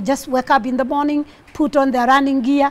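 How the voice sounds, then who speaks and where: Noticeable background noise beneath fairly even intonation. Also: woman. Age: 60s. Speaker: marathon runner. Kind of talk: TV interview. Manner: halting, with many fillers and restarts.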